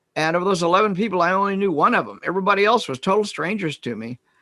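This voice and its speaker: A man with a Midwestern US accent talks at a very fast pace in a bright, sharp tone. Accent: US Midwest. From Kansas. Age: 70s. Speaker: retired psychologist and author. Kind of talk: interview. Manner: halting.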